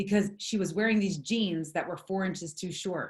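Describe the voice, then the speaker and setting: A woman with an American accent talks at a medium pitch. Her voice is somewhat breathy. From US East Coast. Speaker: network marketing leader. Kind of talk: motivational talk. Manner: fast; animated.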